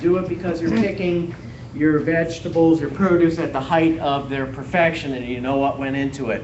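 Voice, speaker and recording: With an animated tone and a Wisconsin accent, a man with a fairly high pitch speaks at a moderate pace with ordinary pitch variation, amid audible room echo and noticeable background noise. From Wisconsin, US Upper Midwest. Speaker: gardening extension educator. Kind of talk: public lecture to audience. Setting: room with live audience. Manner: animated, interactive.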